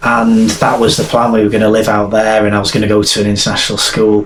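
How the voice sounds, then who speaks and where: A man with a strong Welsh accent and fairly low pitch, amid noticeable background noise and audible room echo. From North Wales. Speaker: army veteran and author. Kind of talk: interview testimony. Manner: halting, repeats words.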